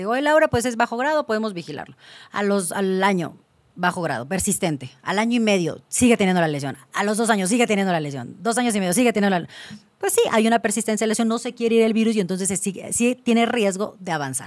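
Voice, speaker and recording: The speech moves at a very fast pace with lively intonation. The background is quiet. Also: woman. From Mexico, Cancún; Mexico. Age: 30s. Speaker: gynecologist; guest. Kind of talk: interview. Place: studio. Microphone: studio mic.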